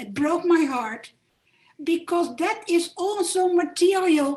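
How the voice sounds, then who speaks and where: A woman with a Dutch accent, very slow in pace and lively in intonation. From Netherlands, Amsterdam. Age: 70s. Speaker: Holocaust survivor, audience member. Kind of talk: Q&A remarks at a talk. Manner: halting.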